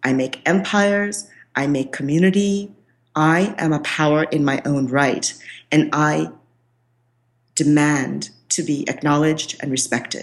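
The speaker goes at a fairly slow pace with ordinary pitch variation. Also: woman. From India, Calcutta. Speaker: author and spiritual coach. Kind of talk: interview.

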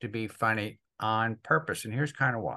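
Against a quiet background, a man talks at a fairly quick pace in a bright, sharp tone with fairly even intonation. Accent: New Jersey. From US Northeast, northern New Jersey. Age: 70s. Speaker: financial advice guest. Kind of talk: interview. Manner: fast.

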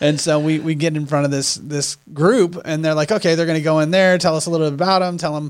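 Fairly high in pitch, a man talks at a very fast pace with fairly even intonation. He leaves hardly any pauses. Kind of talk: casual podcast conversation.

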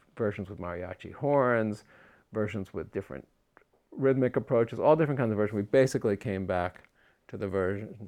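Over a quiet background, a man with a fairly low pitch and an unremarkable speaking voice talks at a fairly quick pace with ordinary pitch variation. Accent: American. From US Northeast (Long Island, New York). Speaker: composer. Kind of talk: interview. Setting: studio.

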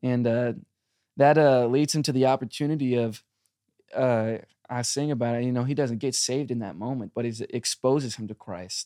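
In a dry, close sound with no echo, a man with a normal speaking voice talks fairly quickly at a medium pitch with fairly even intonation. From US, army family, moved around. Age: 20s. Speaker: southern rock musician. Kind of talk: interview. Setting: studio.

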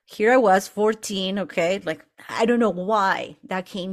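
At a moderate pace and a medium pitch, a woman talks in a normal speaking voice. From Argentina, moved to Utah at eleven. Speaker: life coach. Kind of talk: interview.

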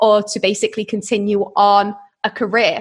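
A woman speaks with a British accent. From UK. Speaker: entrepreneur. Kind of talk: interview.

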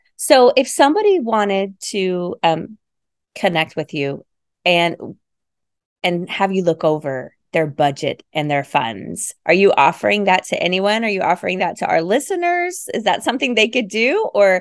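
In an ordinary speaking voice, a woman talks at medium pitch and a moderate pace against a quiet background. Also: lively intonation. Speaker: podcast host. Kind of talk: casual interview chat.

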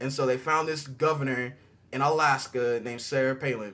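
With an unremarkable speaking voice, a man talks at a moderate pace and a fairly high pitch. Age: 20s. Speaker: podcast co-host. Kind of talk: casual chat.

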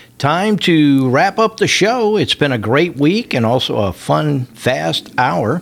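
A man with a warm tone speaks with very wide pitch swings. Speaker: radio host. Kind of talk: radio dj patter. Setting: radio studio. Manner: warm, jovial, chatty.

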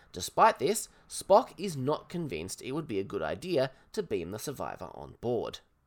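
A man speaks with an Australian accent at a moderate pace. The recording is very clean, with a silent background. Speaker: podcast host and author. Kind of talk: solo episode review. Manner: casual.

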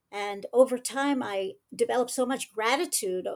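A woman speaks in a normal speaking voice, fairly high in pitch with ordinary pitch variation. Her pace is moderate, and the recording is very clean with a silent background. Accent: American. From United States. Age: 60s. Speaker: self-defense instructor. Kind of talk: casual chat.

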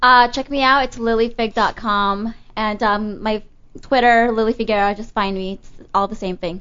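A normal speaking voice belongs to a woman pitched fairly high, with fairly even intonation. She keeps a moderate pace, and her loudness swings widely. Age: 20s. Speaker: webcam model. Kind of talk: casual chat. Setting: studio.

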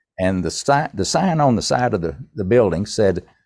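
Over a quiet background, the male speaker's lively intonation carries along at a moderate pace. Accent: Tennessee. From US South, East Tennessee. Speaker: songwriter and entrepreneur. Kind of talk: interview.

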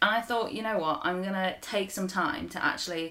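With an unremarkable speaking voice, a woman talks at a medium pitch and with ordinary pitch variation. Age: 20s. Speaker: food content creator. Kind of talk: casual chat.

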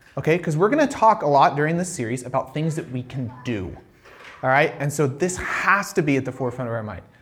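Very fast speech from a man, fairly high in pitch with lively intonation, over noticeable background noise. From living in Ireland. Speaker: pastor. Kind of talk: sermon. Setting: church.

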